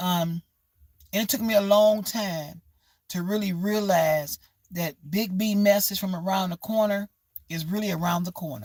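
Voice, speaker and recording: This woman talks at a moderate pace in a medium pitch, somewhat breathy, with fairly even intonation and a dry, close sound that has no echo. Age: 60s. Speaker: livestreamer. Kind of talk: motivational livestream talk. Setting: livestream.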